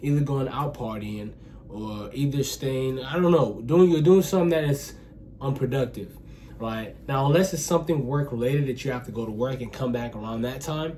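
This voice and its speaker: With audible room echo, a man talks at a moderate pace and medium pitch, using ordinary pitch variation. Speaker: self-improvement vlogger. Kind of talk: casual talk to camera. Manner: halting, self-admitted stuttering; casual, filler-heavy.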